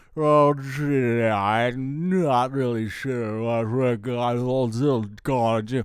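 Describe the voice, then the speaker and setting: Putting on a character voice, a man speaks very slowly at a medium pitch. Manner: silly, goofy.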